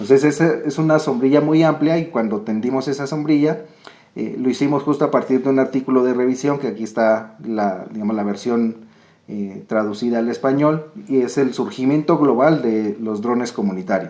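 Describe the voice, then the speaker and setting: A man speaks in a medium pitch at a moderate pace. His tone is dark and mellow, with ordinary pitch variation. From Colombia. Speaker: researcher, geographer. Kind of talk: academic presentation. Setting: video call.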